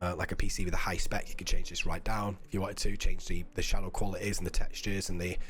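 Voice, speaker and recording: Amid audible room echo, a man rushes along at a very fast pace with hardly any pauses. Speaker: game developer presenting demo. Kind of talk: live stream game demo.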